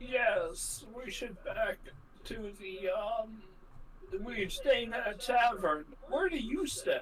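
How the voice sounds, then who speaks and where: A put-on character voice with fairly high pitch crawls along very slowly through long, frequent pauses over clear background noise. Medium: actual play.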